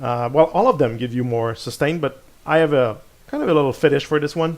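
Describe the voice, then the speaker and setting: Fairly high in pitch, a man talks with a French accent. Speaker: gaming video creator. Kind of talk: gameplay commentary. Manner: halting, many repeated words and fillers.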